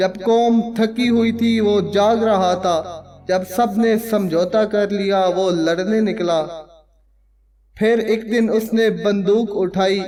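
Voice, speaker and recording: A man speaks in a high-pitched voice. His loudness stays very even. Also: fairly even intonation. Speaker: voice-over narrator. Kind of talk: documentary narration. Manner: dramatic, impassioned.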